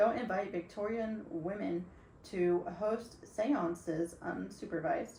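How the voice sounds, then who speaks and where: A woman speaking very slowly, with ordinary pitch variation and noticeable background noise. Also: medium pitch for a woman. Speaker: podcast co-host. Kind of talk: reading a script aloud; casual chat.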